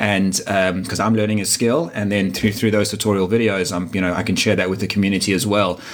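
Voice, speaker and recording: Over noticeable background noise, a man talks at a very fast pace. His fairly low voice keeps a fairly even intonation. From South Africa, Durban. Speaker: digital marketer and sports event organiser. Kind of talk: interview.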